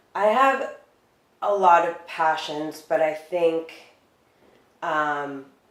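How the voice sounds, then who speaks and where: Speech at a very slow pace, with long, frequent pauses, ordinary pitch variation and audible room echo. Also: woman, fairly low pitch for a woman. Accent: American. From United States, Dominican family. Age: 30s. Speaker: beauty industry worker. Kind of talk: interview. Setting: living room.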